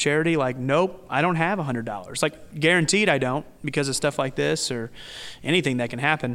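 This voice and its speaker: This man talks at a fairly quick pace in a fairly high pitch. The recording is very clean, with a silent background. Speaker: restaurant owner. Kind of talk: casual interview chat. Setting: in a restaurant. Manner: loud, even-keeled.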